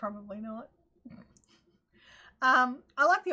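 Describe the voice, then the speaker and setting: A woman's animated, bright and sharp high-pitched voice with a strong Australian accent. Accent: broad Australian. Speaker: crafting livestream host. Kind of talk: casual livestream chat.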